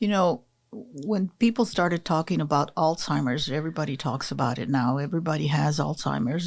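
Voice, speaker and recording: A woman talks at a fairly quick pace with hardly any pauses, her very deep, low pitch carrying vocal fry and ordinary pitch variation. The recording is very clean with a silent background. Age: 70s. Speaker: community health advocate. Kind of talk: podcast interview.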